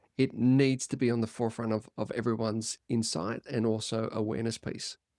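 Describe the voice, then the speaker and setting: With an Australian accent, a man speaks at medium pitch and a moderate pace in a dry, close sound with no echo. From Australia, Byron Bay, New South Wales. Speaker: performance coach. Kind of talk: podcast interview.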